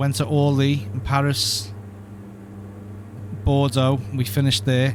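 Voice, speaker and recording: A man speaks at a fairly slow pace with a medium pitch and fairly even intonation. Noticeable background noise sits behind him. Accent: Liverpool. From Liverpool, England. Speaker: flight sim streamer. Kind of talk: live stream commentary. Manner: mumbles at times; casual, chatty.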